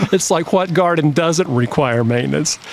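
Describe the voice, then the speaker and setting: With a normal speaking voice, a man talks at a fairly quick pace, his fairly high pitch carried by lively intonation. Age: 60s. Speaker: garden designer. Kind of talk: casual chat.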